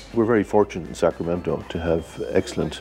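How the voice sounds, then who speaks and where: A man with an Irish accent at a fairly quick pace, with ordinary pitch variation and noticeable background noise. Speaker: cardiologist. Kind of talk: interview.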